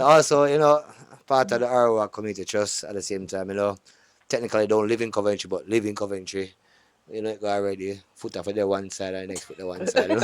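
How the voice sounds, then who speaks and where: Fairly low-pitched man's voice in a Jamaican accent, very fast, with big swings in loudness. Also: ordinary pitch variation. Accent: Jamaican, patois-inflected. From Jamaica (Kingston, Montego Bay). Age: 40s. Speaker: DJ and warehouse manager, community trust member. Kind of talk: casual podcast panel chat.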